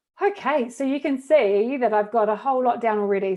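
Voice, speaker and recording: The woman has a dark, mellow tone and a New Zealand accent. She speaks at a fairly quick pace. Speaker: education technology trainer, former teacher. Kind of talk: tutorial.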